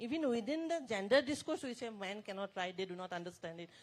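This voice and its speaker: A woman speaks with lively intonation. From Assam, India. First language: Assamese. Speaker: writer. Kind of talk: panel discussion.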